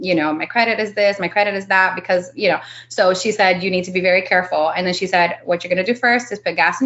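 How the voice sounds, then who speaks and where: This is a woman speaking with a Miami accent. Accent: Miami American English. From Miami, Florida. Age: 30s. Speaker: real estate investor. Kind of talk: interview. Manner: casual, filler-heavy.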